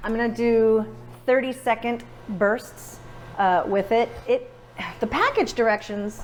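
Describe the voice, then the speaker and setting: Over noticeable background noise, a woman with a fairly high pitch speaks in a fairly even intonation, leaving long, frequent pauses. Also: fairly slow pace. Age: 40s. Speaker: home baker. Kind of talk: casual cooking demonstration.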